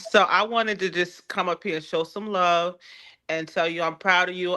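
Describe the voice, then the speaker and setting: Bright and sharp in tone, the voice carries an American accent. It moves at a fairly slow pace. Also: woman. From Newark, New Jersey. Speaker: livestream guest. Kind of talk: casual chat.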